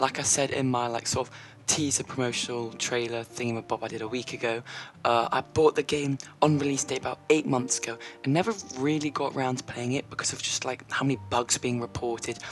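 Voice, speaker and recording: Over music in the background, the voice moves at a fairly quick pace. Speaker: gaming YouTuber. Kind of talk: casual gameplay commentary. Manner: casual, filler-heavy. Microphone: slightly worse mic than usual.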